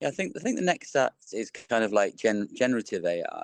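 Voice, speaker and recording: At a moderate pace, a man speaks in a dry, close sound with no echo. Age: 50s. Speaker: behavioural science consultant. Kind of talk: interview. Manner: halting, lots of fillers and repeats.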